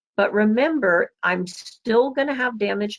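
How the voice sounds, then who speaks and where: It's a plain, everyday voice with an American accent. The pace is fairly slow and the intonation is lively. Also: woman. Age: 60s. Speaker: medical lecturer. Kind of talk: lecture.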